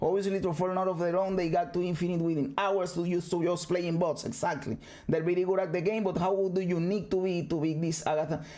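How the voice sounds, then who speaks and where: An animated, high-pitched man with a Spanish accent at a very fast pace, with hardly any pauses and very even loudness, amid audible room echo and music in the background. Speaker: gaming streamer. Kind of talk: video reaction commentary. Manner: halting.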